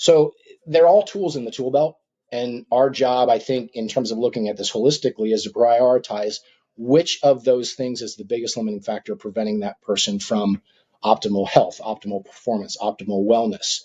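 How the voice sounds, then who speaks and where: At a moderate pace, a man with a normal speaking voice talks at medium pitch with ordinary pitch variation and big swings in loudness. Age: 50s. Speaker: physician. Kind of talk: interview.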